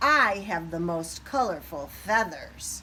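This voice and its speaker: Putting on a character voice, a woman speaks at a fairly slow pace and a fairly low pitch, with clear background noise behind her. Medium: read story.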